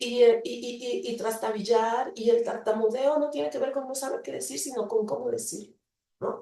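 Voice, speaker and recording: The speech moves at a moderate pace with lively intonation. Loudness swings widely throughout. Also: woman, fairly high pitch for a woman. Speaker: university lecturer in psychology. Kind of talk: invited talk. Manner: hesitant with fillers.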